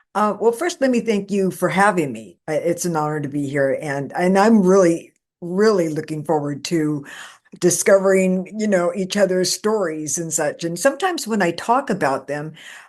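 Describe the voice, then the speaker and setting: A woman with a plain, everyday voice speaks at a moderate pace, her fairly low pitch carried by lively intonation. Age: 60s. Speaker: paranormal experiencer and author. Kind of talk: interview.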